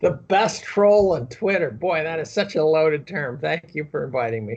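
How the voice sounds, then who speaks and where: A man's fairly high voice at a moderate pace, with lively intonation. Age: 60s. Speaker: chemistry professor and amateur economist. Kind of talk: interview. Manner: halting, with repeats and fillers.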